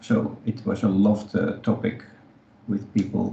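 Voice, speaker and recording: A man with a non-native accent speaks at a moderate pace. His fairly low voice has a monotone, flat intonation. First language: not English. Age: 50s. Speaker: podcast co-host, community space co-founder. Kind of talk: casual chat.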